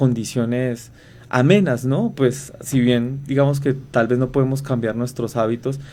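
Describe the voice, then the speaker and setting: In a Colombian accent, a man speaks at a moderate pace with a medium pitch, a dark, mellow tone and fairly even intonation. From Colombia, inland region. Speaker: researcher, biologist. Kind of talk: radio interview. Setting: radio studio. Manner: halting, many fillers.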